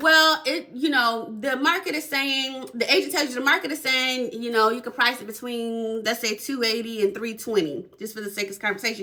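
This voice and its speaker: An animated, high-pitched woman's voice with lively intonation and hardly any pauses, over noticeable background noise. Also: fairly quick pace. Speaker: real estate agent. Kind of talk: casual explainer video.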